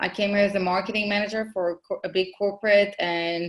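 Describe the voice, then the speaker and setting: A bright, sharp tone at a fairly quick pace, with an Israeli accent. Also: woman. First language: Hebrew. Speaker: marketing consultant, business owner. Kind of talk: podcast interview.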